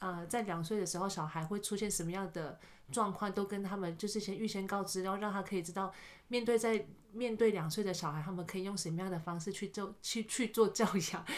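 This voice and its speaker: With fairly even intonation and a medium pitch, this woman talks very fast. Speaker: kindergarten teacher. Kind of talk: casual chat.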